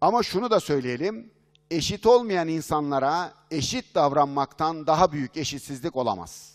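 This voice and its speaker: Against a quiet background, a man talks at a fairly slow pace. His voice sits fairly high and his intonation is lively. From Turkey. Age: 50s. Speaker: business consultant and speaker; speaker. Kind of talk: conference keynote talk. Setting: stage with audience. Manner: animated. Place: hall. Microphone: headset.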